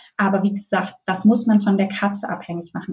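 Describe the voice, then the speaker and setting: The woman's medium-pitched voice is somewhat breathy, with a dark, mellow tone. She keeps a moderate pace and fairly even intonation. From northern Germany. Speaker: veterinarian specializing in pet nutrition. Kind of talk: interview.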